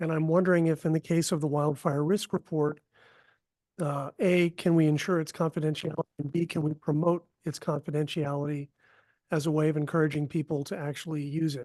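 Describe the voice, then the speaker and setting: Against a quiet background, a man with a fairly high pitch talks at a fairly quick pace in a monotone, flat intonation. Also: dry, close sound with no echo. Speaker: board member. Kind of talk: public meeting discussion.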